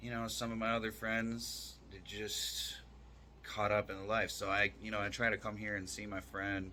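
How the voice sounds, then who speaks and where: At a moderate pace, a man with an American accent speaks in a fairly low pitch with a bright, sharp tone and fairly even intonation. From New York. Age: 30s. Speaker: fitness influencer. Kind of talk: casual vlog monologue. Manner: halting.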